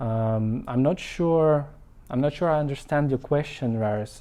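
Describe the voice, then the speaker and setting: A man with a non-native accent, at a fairly slow pace and with ordinary pitch variation. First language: not English. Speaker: marketing consultant. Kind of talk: live stream talk. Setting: Facebook live. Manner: halting, many fillers.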